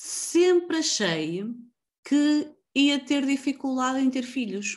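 Against a quiet background, a woman with a high pitch speaks very slowly, her pitch swinging very widely. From northern Portugal, Avintes (Porto area). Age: 30s. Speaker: podcast host, copywriter. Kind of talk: casual interview chat.

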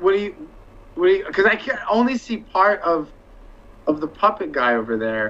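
The speech keeps a moderate pace but is broken by long, frequent pauses. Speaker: podcast guest. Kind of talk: casual chat.

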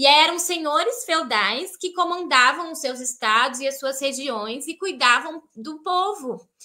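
In a raised, projected voice, a woman with a high pitch and a bright, sharp tone speaks at a fairly slow pace with lively intonation, big swings in loudness and hardly any pauses. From Brazil. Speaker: missionary. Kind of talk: live-stream interview.

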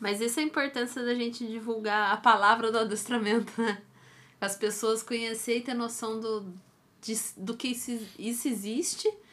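A woman with a plain, everyday voice talks at a moderate pace in a fairly high pitch. Her intonation is fairly even, and the recording is very clean with a silent background. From Brazil, Taubaté (São Paulo state). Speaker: dog trainer and podcast co-host. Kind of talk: casual chat.

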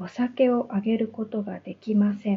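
A woman speaks at a very slow pace. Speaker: Japanese language teacher. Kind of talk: unscripted monologue for language learners. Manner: slow, clear.

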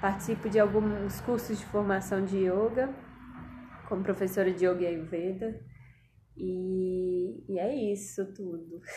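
With long, frequent pauses, a woman talks at a medium pitch amid audible room echo. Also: ordinary pitch variation, fairly slow pace. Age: 20s. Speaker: physician, integrative medicine and yoga teacher. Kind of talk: interview conversation.

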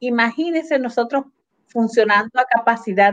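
A woman speaks at a fairly slow pace with ordinary pitch variation in a dry, close sound with no echo. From Puerto Rico, Adjuntas (central mountains). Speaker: cooperative organizer. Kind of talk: interview.

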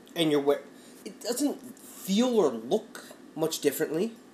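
Music in the background behind a man's high-pitched voice at a moderate pace. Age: 30s. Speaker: podcast co-host. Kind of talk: casual chat.

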